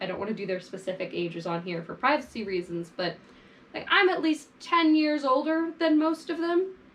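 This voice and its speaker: A woman speaks at a fairly quick pace with very wide pitch swings. There is noticeable background noise. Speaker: fashion vlogger. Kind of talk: casual monologue to camera. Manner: animated.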